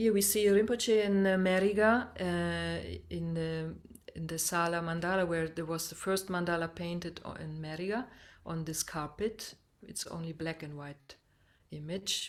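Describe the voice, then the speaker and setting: A woman with a non-native accent speaks at a moderate pace, her fairly low pitch carrying fairly even intonation. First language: not English. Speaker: meditative dance instructor. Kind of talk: webinar slide presentation. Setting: video call. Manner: halting, many fillers and restarts.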